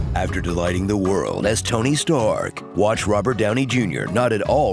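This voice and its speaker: Over music in the background, a man talks at a moderate pace and medium pitch with ordinary pitch variation. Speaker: voice actor. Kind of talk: comedic movie trailer narration.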